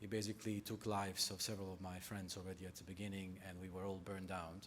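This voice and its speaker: Audible room echo surrounds a man with a Bosnian accent whose fairly low voice stays monotone and flat. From Bosnia, Sarajevo. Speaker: nonprofit sector speaker. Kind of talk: conference talk. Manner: halting.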